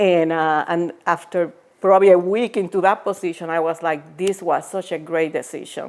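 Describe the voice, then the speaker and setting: A woman with a fairly low voice talks at a moderate pace with fairly even intonation. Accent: Puerto Rican. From Puerto Rico. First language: Spanish. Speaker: former biotech executive and author. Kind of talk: interview. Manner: hesitant, many fillers.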